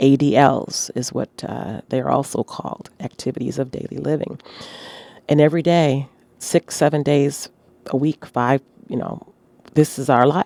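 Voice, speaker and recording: A woman speaks at a fairly slow pace in a very deep, low voice with a dark, mellow tone and vocal fry. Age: 60s. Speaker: fitness podcaster. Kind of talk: casual monologue. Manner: halting, many fillers.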